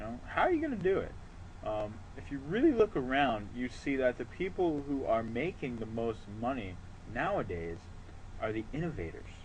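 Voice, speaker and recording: At a moderate pace, a man with medium pitch speaks in a somewhat breathy voice. His pitch swings very widely. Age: 20s. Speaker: online marketing entrepreneur. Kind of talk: motivational talk to camera. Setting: outdoors on a porch. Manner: casual, filler-heavy.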